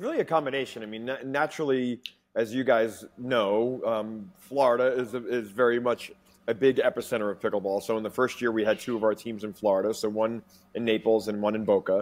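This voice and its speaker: A man with an American accent, fairly quick pace and fairly even intonation. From New York. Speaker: pickleball league executive; guest. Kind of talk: interview. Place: home room. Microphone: earbuds.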